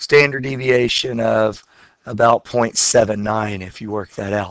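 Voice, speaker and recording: Talking rather slowly, a man uses a plain, everyday voice whose pitch varies in a typical way. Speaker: high school statistics teacher. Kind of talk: lecture.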